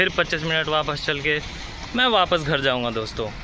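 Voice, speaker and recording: Noticeable background noise behind a man's fairly high pitch and moderate pace. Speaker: vlogger, hotel front office worker. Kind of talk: casual vlog talk to camera.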